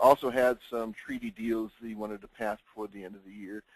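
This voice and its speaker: A man with a medium pitch keeps his intonation fairly even, recorded with a dry, close sound and no echo. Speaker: insurance consultant. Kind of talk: webinar presentation. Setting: webinar audio line. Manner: loud.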